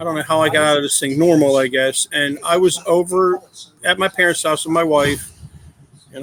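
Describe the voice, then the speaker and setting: A fairly high-pitched man with an American accent, fairly quick and fairly even in intonation, over noticeable background noise. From Philadelphia area, US. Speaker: adoptive father. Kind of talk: podcast interview. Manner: loud.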